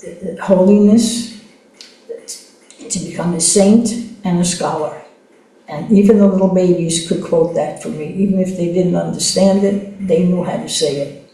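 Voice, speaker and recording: A woman at medium pitch speaks in a fairly even intonation with long, frequent pauses, with audible room echo and noticeable background noise. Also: moderate pace. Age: 80s+. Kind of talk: interview, personal testimony. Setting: podcast interview. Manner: halting, with many fillers and restarts.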